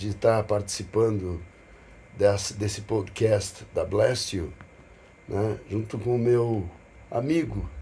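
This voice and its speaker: A man with a medium pitch and a dark, mellow, somewhat breathy tone talks at a very slow pace with ordinary pitch variation and long, frequent pauses. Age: 60s. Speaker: businessman and investor. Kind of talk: casual podcast conversation.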